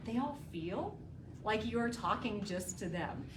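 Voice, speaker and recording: Amid noticeable background noise and audible room echo, a woman with an American accent speaks at medium pitch and a fairly quick pace in an animated tone. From US South, North Carolina (Raleigh). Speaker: communication trainer, former TV journalist. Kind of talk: lecture. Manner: projected voice.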